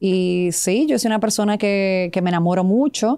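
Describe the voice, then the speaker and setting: Her dark, mellow, medium-pitched voice comes at a moderate pace as a woman speaks against a quiet background. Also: dry sound with no echo. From Serbia (Belgrade), moved to Dominican Republic at 13-14. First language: Serbian (speaking Spanish). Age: 30s. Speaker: TV and radio presenter; radio presenter. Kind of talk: interview. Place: studio. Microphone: studio mic.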